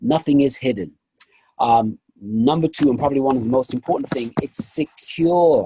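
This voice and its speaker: A man with a fairly high pitch and a dark, mellow tone sounds somewhat breathy, his intonation lively and the sound dry and close with no echo. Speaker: company presenter. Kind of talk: sales pitch.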